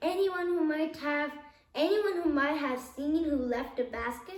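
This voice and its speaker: A woman's put-on character voice, high in pitch, at a moderate pace, with a slight echo. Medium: read story. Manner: terse, matter-of-fact.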